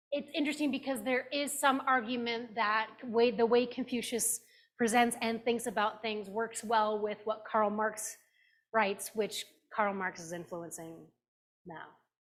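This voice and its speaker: At a fairly slow pace, a woman with a plain, everyday voice speaks, her pitch varying in an ordinary way. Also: fairly high pitch for a woman. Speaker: pastor teaching a class. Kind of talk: lecture. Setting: classroom with Zoom participants.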